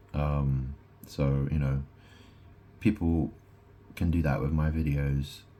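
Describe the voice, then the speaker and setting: Very slowly and in a monotone, flat intonation, a man speaks in a very deep, low voice with a dark, mellow tone. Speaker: vlogger. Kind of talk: casual monologue. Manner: halting.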